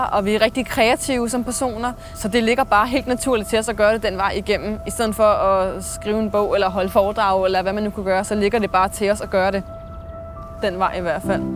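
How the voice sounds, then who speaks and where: Backed by music, a woman with a medium pitch talks at a fairly quick pace with fairly even intonation. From Denmark, Slagelse (Zealand). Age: 20s. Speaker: screenwriter and actor. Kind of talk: interview.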